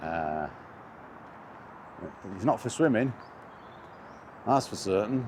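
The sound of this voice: Slow and fairly low-pitched, a man talks with lively intonation and a slightly mellow tone.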